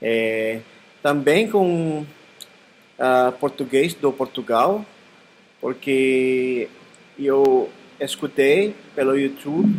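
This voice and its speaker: A man's fairly high voice with lively intonation, very slow pace and long, frequent pauses, over noticeable background noise. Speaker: language learner. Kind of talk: casual conversation practice. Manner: halting.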